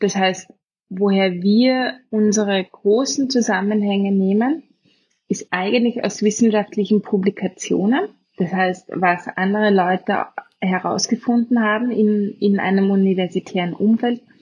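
A woman with a slight Austrian accent speaks at a fairly slow pace at medium pitch, somewhat breathy, with fairly even intonation and very even loudness. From Austria, Vienna. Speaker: biotech co-founder, molecular biologist. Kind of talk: interview conversation. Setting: remote call from Vienna.

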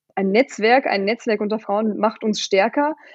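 Music plays in the background as a woman speaks at a fairly slow pace. Her fairly high voice keeps a fairly even intonation. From Germany. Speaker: company founder. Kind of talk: interview. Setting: home office.

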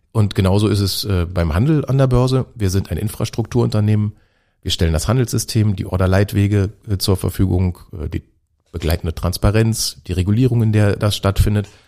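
An ordinary speaking voice from a man, fairly low in pitch, with ordinary pitch variation at a fairly quick pace. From Germany. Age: 40s. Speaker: stock exchange CEO. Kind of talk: interview. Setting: studio.

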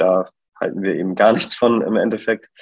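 This man keeps his intonation fairly even and his pace moderate. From northern Germany, Bremen. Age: 20s. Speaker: fashion brand co-founder. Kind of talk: interview. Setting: online call. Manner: hesitant, many fillers.

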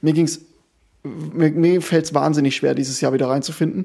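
A man's dark, mellow tone at a moderate pace, on a very clean recording with a silent background. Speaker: amateur football podcast host and club coach. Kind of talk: casual chat. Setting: recording at co-host's home.

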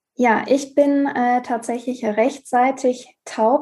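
In a very clean recording with a silent background, a woman with a dark, mellow tone speaks at a fairly high pitch with fairly even intonation. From Ruhr area, Germany. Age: 20s. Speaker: pharmacy student with hearing impairment. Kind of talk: interview.

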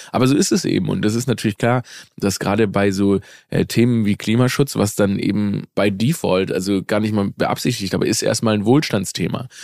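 Over a very clean recording with a silent background, a man with a fairly low pitch talks at a fairly quick pace, keeping his loudness very even and his pitch variation ordinary. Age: 30s. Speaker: comedian. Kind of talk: casual chat.

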